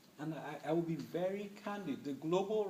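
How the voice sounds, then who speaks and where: A man at a moderate pace with ordinary pitch variation, with audible room echo. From Nigeria, Middle Belt. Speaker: human rights advocate. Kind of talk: public talk Q&A. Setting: university event with audience.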